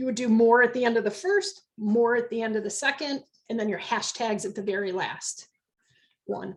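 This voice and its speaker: Talking at a moderate pace, a woman uses a plain, everyday voice, fairly high in pitch, with ordinary pitch variation. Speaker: business network founder giving a training. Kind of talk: online educational workshop.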